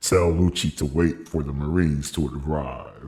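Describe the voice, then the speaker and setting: A man uses a put-on character voice with a very deep, low pitch. He talks at a moderate pace. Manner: respectful, serious.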